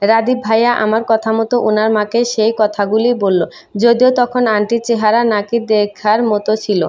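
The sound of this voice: Unforced reading aloud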